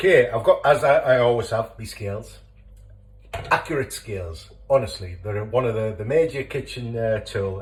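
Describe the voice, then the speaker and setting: Here a man talks with a Teesside accent. His pace is moderate. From northern England, Teesside. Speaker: home cooking video creator. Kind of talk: cooking tutorial. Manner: casual, hesitant with many fillers.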